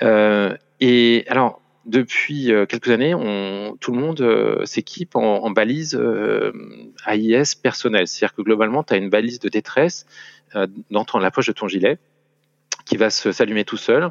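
Medium-pitched male speech with ordinary pitch variation and long, frequent pauses. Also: fairly slow pace. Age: 40s. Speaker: sailor. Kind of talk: casual chat. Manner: halting.

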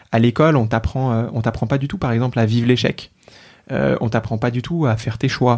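Medium pitch marks this man's voice, with ordinary pitch variation. He speaks at a moderate pace. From Paris region, France. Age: 20s. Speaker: mental health startup founder. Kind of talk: casual interview conversation. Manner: hesitant, many fillers and repetitions.

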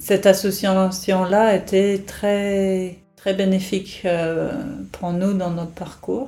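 Over audible room echo, a woman talks at a very slow pace in a medium pitch, her tone dark and mellow and her intonation monotone and flat. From England. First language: English (speaking French). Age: 50s. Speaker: nurse and caregiver to her ill husband. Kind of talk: personal testimony. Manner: hesitant, many fillers.

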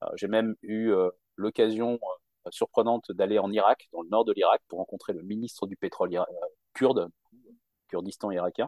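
The speaker is a man at a moderate pace. Long pauses come often in his speech. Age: 40s. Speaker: job seeker who changed jobs. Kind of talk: interview.

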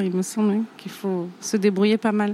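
This woman has a medium-pitched voice with a dark, mellow tone. Her intonation stays monotone and flat. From southern France, Provence (Bouches-du-Rhône, Nîmes). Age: 30s. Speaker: chartered accountant, firm owner. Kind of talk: interview conversation. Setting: small office at a conference.

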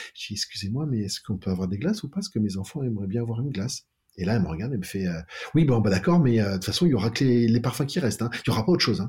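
Lively intonation runs through a man's very fast speech, delivered at a medium pitch in a dark, mellow, somewhat breathy tone. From France, Tours (Touraine). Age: 50s. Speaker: optician business co-founder. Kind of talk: interview. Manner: halting.

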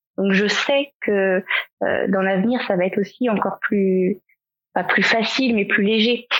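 At a fairly slow pace, a woman of medium pitch speaks in an unremarkable speaking voice with very even loudness. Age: 30s. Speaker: comic book author and illustrator, parent of diabetic child. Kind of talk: podcast interview.

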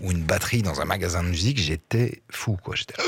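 A somewhat breathy man with lively intonation, on a very clean recording with a silent background. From Belgium, Liège region. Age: 40s. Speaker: actor and musician. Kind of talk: interview. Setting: studio.

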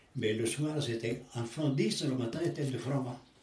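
A man speaks very slowly at a medium pitch, with ordinary pitch variation. Room echo is audible. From Italy, near Rome. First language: Italian (speaking French). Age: 80s+. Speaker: elderly interviewee. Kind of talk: life story interview. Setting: at home. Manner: halting.

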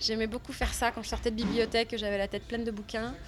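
A woman at a fairly high pitch, speaking at a very fast pace. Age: 30s. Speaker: actress and former literature teacher. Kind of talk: interview testimony.

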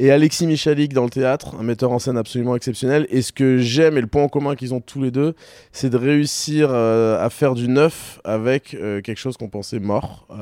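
At a moderate pace, a man with a medium pitch and a dark, mellow tone keeps his intonation fairly even over a very clean recording with a silent background. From southern France (Toulon). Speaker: company founder. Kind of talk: interview. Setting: studio.

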